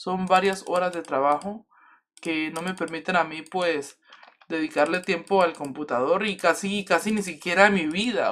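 A man talks at a moderate pace in a high voice. His pitch varies in an ordinary way. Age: 20s. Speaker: gaming youtuber; gaming streamer. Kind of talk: gameplay commentary, casual chat. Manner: casual, informal. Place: home room.

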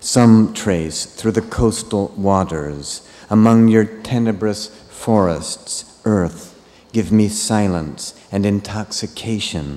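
A soft-spoken man talks at a very slow pace. His tone is dark and mellow. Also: fairly low pitch for a man, ordinary pitch variation. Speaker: translator reading English versions. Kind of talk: poetry reading of English translations, then a brief spoken introduction. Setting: stage with audience, festival reading. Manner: soft, earnest, reverent; emotional, slow and prayer-like. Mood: calm, measured, lyrical. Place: stage. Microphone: studio mic.

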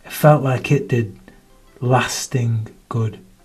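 A man with a Manchester accent speaks at a medium pitch with ordinary pitch variation. Music plays in the background. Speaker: performance poet. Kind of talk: performance poetry reading.

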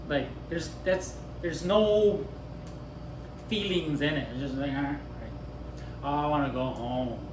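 Over noticeable background noise, a man speaks at a fairly slow pace with long, frequent pauses and ordinary pitch variation. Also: fairly high pitch for a man. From Japan. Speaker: bartender; bartender instructor. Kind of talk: tutorial. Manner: casual, with many fillers and repetitions. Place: bar. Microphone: camera far.

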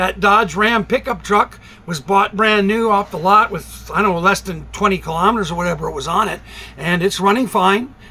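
A man's raised, projected voice at a fairly quick pace, with fairly even intonation. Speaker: vlogger. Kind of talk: casual vlog chat. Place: home room. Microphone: phone near.

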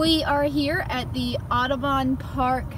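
A woman speaks with a dry sound and no echo. Light background noise runs underneath. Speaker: vlogger. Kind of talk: casual vlog chat. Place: car. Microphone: phone near.

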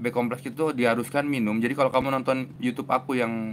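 A man at a medium pitch talks at a very fast pace over light background noise. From Indonesia. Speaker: mental health author and YouTuber; YouTuber. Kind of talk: live stream talk answering viewer comments. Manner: casual, fast. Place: home room. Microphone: lapel.

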